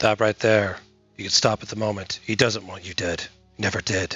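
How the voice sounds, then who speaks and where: With faint music in the background, a raspy put-on character voice speaks at a moderate pace with monotone, flat intonation. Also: man, fairly low pitch for a man. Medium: audio drama. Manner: measured, hesitant, grave.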